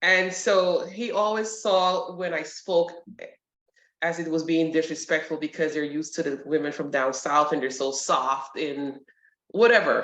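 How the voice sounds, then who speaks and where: A New York accent at a fairly slow pace, with ordinary pitch variation. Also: woman, fairly low pitch for a woman. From New York, Brooklyn. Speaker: retired army sergeant major and nurse. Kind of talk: interview. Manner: direct.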